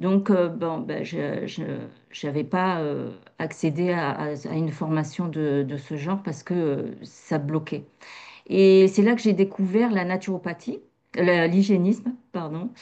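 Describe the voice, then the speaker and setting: Against a quiet background, a woman speaks very slowly in a fairly low, dark and mellow voice with ordinary pitch variation. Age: 50s. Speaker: massage practitioner and naturopathy graduate. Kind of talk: testimony interview. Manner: hesitant, many fillers.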